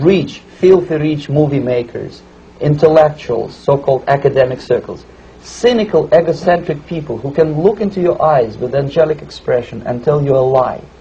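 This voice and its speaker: With a Russian accent, a man speaks at a moderate pace with a fairly high pitch and ordinary pitch variation over noticeable background noise. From Russia (Moscow suburb). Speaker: former KGB officer, defector. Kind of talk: interview answer.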